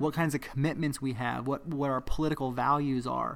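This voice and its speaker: On a very clean recording with a silent background, a man with an American accent speaks at a fairly high pitch. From Southern California. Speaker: anti-racist activist and author. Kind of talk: interview. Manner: halting.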